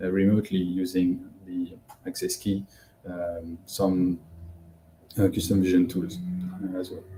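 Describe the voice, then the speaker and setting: A man's very deep, low, dark and mellow voice, somewhat breathy, with monotone, flat intonation, a fairly slow pace and long, frequent pauses. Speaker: data science instructor. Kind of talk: live webinar tutorial. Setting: livestream with YouTube chat. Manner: hesitant, many fillers.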